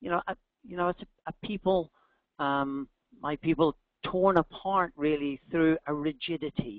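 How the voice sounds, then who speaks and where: Here a man speaks with a Northern Irish accent and a fairly high pitch. His pace is moderate, with ordinary pitch variation. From Northern Ireland. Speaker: executive coach, company founder. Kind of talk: webinar talk. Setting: online webinar.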